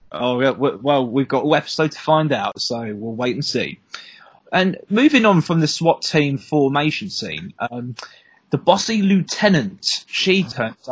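Somewhat breathy, this speaker uses lively intonation with a Southeast English accent. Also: man. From Southeast England. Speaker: podcast co-host. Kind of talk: casual chat.

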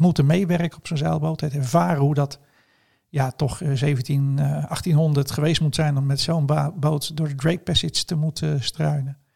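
The voice is somewhat breathy and moves at a moderate pace. Its intonation stays fairly even. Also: man, fairly high pitch for a man. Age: 50s. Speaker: entrepreneur and photographer. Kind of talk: casual interview.

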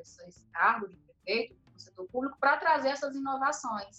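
There is a normal speaking voice here, belonging to a woman. Her pace is moderate and her pitch varies in an ordinary way. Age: 30s. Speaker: city inspector and council pre-candidate. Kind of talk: podcast interview.

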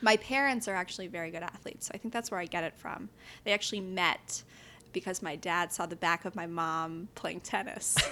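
Music plays behind a woman speaking at a fairly quick pace. Her pitch sits in the medium range. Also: ordinary pitch variation. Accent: American. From New York City, Upper West Side. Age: 20s. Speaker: entrepreneur. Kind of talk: casual interview. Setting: home kitchen.

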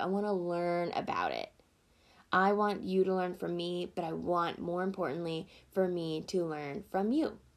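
A woman with an American accent speaks at a moderate pace in a fairly low pitch. The recording is very clean, with a silent background. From US Deep South, small town. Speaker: podcast host. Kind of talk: solo podcast monologue. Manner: casual, laughing often.

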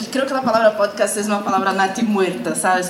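Over music in the background, a woman speaks at medium pitch with ordinary pitch variation and audible room echo. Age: 30s. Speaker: journalist and podcast workshop teacher. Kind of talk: workshop lecture.

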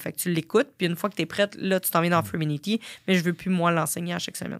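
A woman with a normal speaking voice talks at a fairly low pitch with fairly even intonation. The sound is dry and close with no echo, on a very clean recording with a silent background. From Quebec, Sorel. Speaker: fitness entrepreneur and business coach. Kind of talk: interview.

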